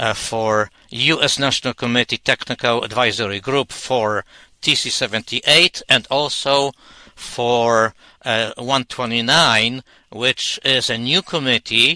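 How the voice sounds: A man's bright, sharp tone at a fairly slow pace. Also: medium pitch for a man, ordinary pitch variation, dry, close sound with no echo.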